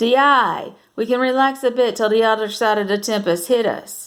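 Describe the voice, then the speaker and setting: A woman uses a put-on character voice, hoarse and fairly high in pitch. Her loudness stays very even at a moderate pace. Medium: read story. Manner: dialect speech, short phrases.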